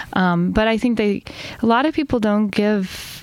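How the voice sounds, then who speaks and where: This woman speaks fairly slowly with an American accent and a medium pitch. Her intonation is fairly even, and there is noticeable background noise. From US South, Chattanooga, Tennessee. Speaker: poet. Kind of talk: interview.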